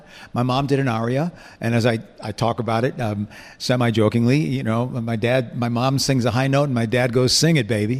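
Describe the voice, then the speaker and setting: Fairly quick, fairly even intonation in an ordinary speaking voice. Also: man, medium pitch for a man. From US Northeast (Buffalo, New York), born in England. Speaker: singer and entertainer. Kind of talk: casual chat. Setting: studio.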